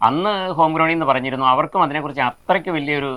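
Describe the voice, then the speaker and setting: In a bright, sharp tone, a man speaks with lively intonation and vocal fry. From Kerala. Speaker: retired headmaster and farmer. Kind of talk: interview. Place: garden. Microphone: lapel.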